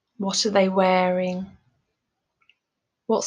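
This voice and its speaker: Very slowly and in a calm, soothing tone, a woman talks at a medium pitch with monotone, flat intonation. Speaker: mindfulness coach, meditation guide. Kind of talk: guided meditation. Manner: calm, slow, soothing.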